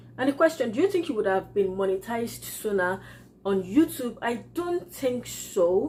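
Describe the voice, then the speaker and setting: A woman speaks with a Yoruba accent at a moderate pace. Her fairly high pitch swings very widely. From Nigeria. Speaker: YouTuber, entrepreneur. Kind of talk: casual vlog Q&A. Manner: halting.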